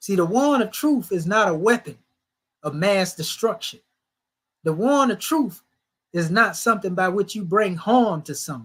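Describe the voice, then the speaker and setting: Pausing long and often, a man with a high voice and lively intonation talks at a moderate pace on a very clean recording with a silent background. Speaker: religious teacher. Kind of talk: sermon. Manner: conversational.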